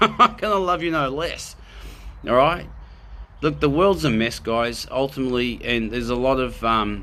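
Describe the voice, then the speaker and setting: A man with an Australian accent, medium pitch, lively intonation and a fairly quick pace, in a room with audible echo. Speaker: spiritual video host. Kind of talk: live spiritual talk. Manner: animated; loud.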